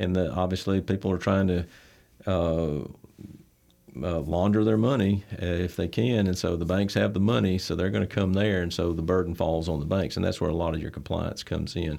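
A man with an Alabama accent talks at a fairly quick pace in a very deep, low pitch, his tone dark and mellow and his pitch variation ordinary. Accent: Southern US (Alabama). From US South, Troy, Alabama. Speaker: bank president and CEO. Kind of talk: interview. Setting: studio. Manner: halting, many fillers.

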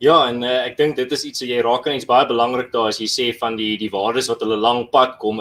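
This is an unremarkable speaking voice. The intonation stays fairly even. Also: man. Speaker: YouTube channel host. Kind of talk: livestreamed interview conversation. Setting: online livestream.

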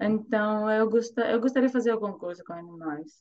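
Speaking in a Greek accent, a woman uses a medium pitch with ordinary pitch variation. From Greece, Thessaloniki. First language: Greek (speaking Portuguese). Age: 30s. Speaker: volunteer and language learner. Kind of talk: interview. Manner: halting.

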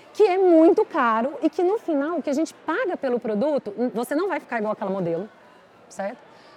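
Noticeable background noise sits under a woman's high-pitched voice, with a dry, close sound and no echo. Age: 40s. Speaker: beauty company executive. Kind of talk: casual interview. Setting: restaurant with live audience.

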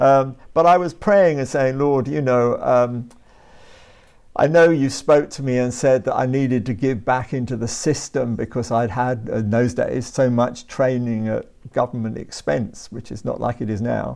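A man's medium-pitched voice with a southern English accent, moderate pace, ordinary pitch variation and a quiet background. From southern England, Brighton and Hove. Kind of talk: interview.

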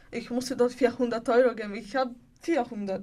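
A woman with a Bulgarian accent speaks very slowly in a high pitch, her intonation fairly even. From Bulgaria, Sofia. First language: Bulgarian (speaking German). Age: 20s. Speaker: homeless young woman in a women's shelter. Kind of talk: personal testimony interview. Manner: halting.

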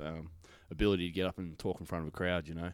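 Speaking at a very fast pace, a man with an Australian accent has a very deep, low pitch. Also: very clean recording, silent background. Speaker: stand-up comedian. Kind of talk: casual chat. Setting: comedy venue back room.

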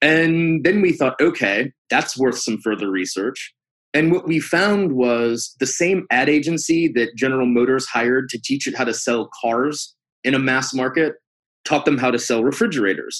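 The speaker has an American accent, moderate pace and ordinary pitch variation. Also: man, medium pitch for a man. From US Midwest (St. Louis, Missouri). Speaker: food museum director. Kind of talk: interview.

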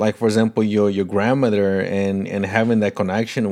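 A man's fairly low voice with fairly even intonation on a very clean recording with a silent background. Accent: Portuguese. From Paraguay. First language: Portuguese. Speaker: podcast host. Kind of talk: interview conversation.

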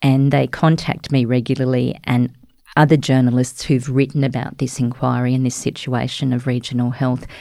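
In an Australian accent, a woman speaks at a very deep, low pitch with a dark, mellow tone, flat monotone intonation and a moderate pace. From outback New South Wales, Australia (Cobar). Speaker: journalist. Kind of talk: interview.

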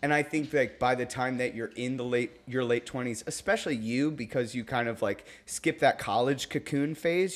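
A man's unremarkable speaking voice, medium in pitch with ordinary pitch variation and a moderate pace, on a very clean recording with a silent background. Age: 30s. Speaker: DJ and business owner. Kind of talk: casual chat. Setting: at the host's house.

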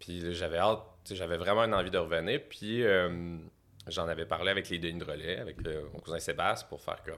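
A man's very deep, low voice with fairly even intonation, on a very clean recording over a silent background. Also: fairly quick pace. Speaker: comedian manager. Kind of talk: casual chat.

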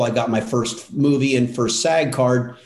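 In an American accent, an unremarkable speaking voice proceeds at a fairly slow pace with fairly even intonation. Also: man. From Southern California. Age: 60s. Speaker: actor and acting coach. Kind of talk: interview.

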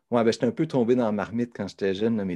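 The background stays quiet. A man talks in a dark, mellow tone, his pitch varying in an ordinary way. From Quebec, south shore near Quebec City. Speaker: professor. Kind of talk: interview. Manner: halting.

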